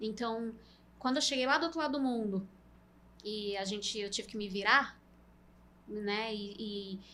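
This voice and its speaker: Her pitch fairly high and ordinarily varied, a woman speaks at a moderate pace. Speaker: CNC industry sales and training specialist. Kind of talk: podcast interview.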